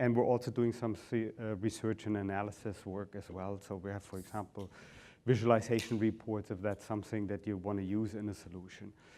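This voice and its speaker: In a German accent, the speaker delivers a dark, mellow tone with monotone, flat intonation at a fairly quick pace, on a very clean recording with a silent background. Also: man, fairly low pitch for a man. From Germany. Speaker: business consultant, company founder. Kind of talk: conference presentation.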